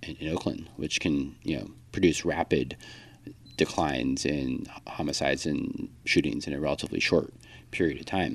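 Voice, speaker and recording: A man with an American accent, very deep and low in pitch, at a fairly quick pace with vocal fry. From Texas, El Paso. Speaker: gun violence prevention advocate. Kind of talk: casual interview conversation. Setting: district office. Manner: halting, many fillers.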